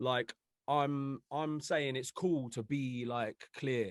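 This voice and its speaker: Here a man talks with a British accent at a fairly slow pace. His pitch is medium and his intonation fairly even. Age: 30s. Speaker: music artist. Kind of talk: casual podcast chat. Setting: studio with live audience.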